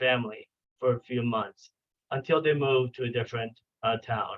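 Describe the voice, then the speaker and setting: A man speaks with a Spanish accent. His pitch is medium. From Venezuela. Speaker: clinical psychologist. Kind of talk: training lecture. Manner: halting, with many fillers and restarts.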